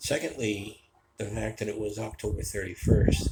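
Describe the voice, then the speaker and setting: A man with an American accent speaks at a fairly low pitch, with vocal fry in his voice. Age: 60s. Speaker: vlogger. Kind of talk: personal storytelling monologue. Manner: casual, with filler hesitations.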